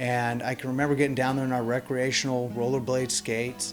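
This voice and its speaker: Music plays in the background as a man speaks at a medium pitch and a fairly quick pace. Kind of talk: interview answer.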